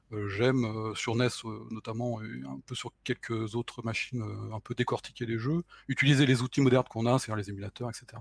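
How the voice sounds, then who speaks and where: Somewhat breathy speech comes at a fairly quick pace with a fairly even intonation. The loudness swings widely, and the sound is dry and close with no echo. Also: man, medium pitch for a man. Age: 40s. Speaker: self-taught retro console programmer. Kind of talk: technical interview.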